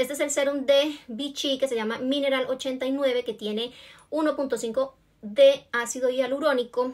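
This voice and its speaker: A woman speaks in a high pitch. The background is quiet. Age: 40s. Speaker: beauty vlogger. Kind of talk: tutorial. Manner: casual and friendly. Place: home room. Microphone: phone near.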